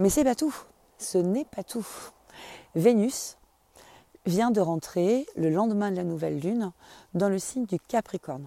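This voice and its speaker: In a dark, mellow tone and medium pitch, a woman speaks fairly slowly with lively intonation and long, frequent pauses, on a very clean, dry, close recording with a silent background and no echo. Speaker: astrology podcaster. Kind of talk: solo monologue. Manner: casual, intimate address.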